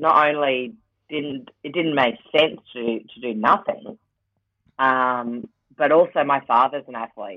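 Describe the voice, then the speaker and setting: In an Australian accent, a woman speaks very slowly at a very deep, low pitch. Her pitch varies in an ordinary way, and her loudness swings widely. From Queensland, Australia (Rockhampton). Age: 40s. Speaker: Paralympian and TV presenter. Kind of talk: casual interview chat.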